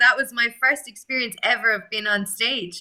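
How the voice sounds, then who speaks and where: Moderate pace, ordinary pitch variation, and an Irish accent. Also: woman. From Ireland, Limerick. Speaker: actress and acting coach. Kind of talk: interview.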